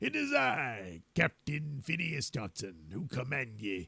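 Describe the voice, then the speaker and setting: A man puts on a raspy character voice. He talks at a very slow pace. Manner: bellowing, commanding.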